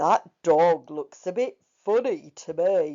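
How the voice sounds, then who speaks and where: A put-on, female-sounding character voice at a middle pitch and a very slow pace. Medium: read story.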